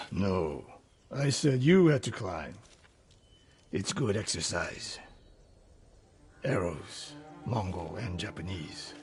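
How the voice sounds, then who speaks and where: A man speaks in a raspy, put-on character voice with fairly low pitch and very wide pitch swings. His pace is fairly slow, broken by long, frequent pauses. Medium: video game. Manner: curt, clipped.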